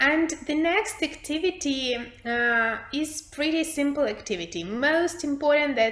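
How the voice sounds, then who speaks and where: A woman keeps a moderate pace as noticeable background noise carries on around her. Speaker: English teacher trainer. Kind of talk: workshop presentation.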